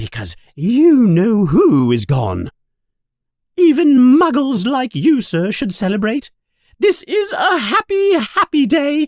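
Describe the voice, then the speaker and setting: A put-on character voice, squeaky and high-pitched. It moves at a fairly slow pace. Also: very clean recording, silent background. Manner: cheerful, joyful.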